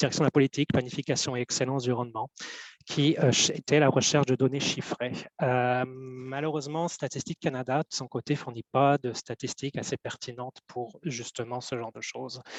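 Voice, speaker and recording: Recorded with a dry, close sound with no echo, a man speaks at a moderate pace in a medium pitch with fairly even intonation. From Belgium. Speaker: government cultural data analyst. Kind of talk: webinar presentation. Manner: hesitant, many fillers.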